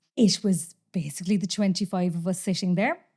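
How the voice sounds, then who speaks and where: With a Cork accent, a woman speaks at a medium pitch and a fairly quick pace, her tone dark, mellow, and somewhat breathy, on a very clean recording with a silent background. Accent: Cork Irish. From Ireland, Cork (Glanmire). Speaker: actor and comedian. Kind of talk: casual chat.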